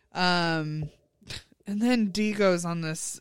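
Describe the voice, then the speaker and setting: The recording is very clean with a silent background, and the voice shows ordinary pitch variation. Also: woman. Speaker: podcast co-host. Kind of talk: casual chat.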